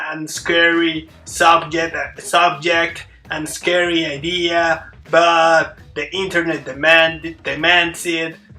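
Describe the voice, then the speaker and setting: A high-pitched man talks with a non-native accent. Noticeable noise sits in the background. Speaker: YouTuber, hip hop commentator. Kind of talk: solo video essay, media analysis. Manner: halting, many fillers and restarts.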